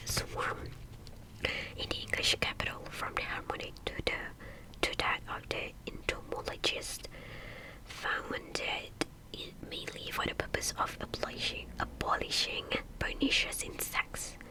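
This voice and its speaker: With noticeable background noise behind her, a woman whispers at a fairly slow pace, pausing often and at length. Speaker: ASMR creator. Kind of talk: audiobook-style story reading, ASMR. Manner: slow, whispered, with repeated words and stumbles.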